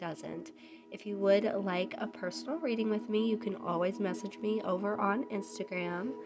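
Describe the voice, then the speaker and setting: A woman at a medium pitch, with music in the background. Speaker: tarot reader. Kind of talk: tarot reading. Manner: hesitant, many ums.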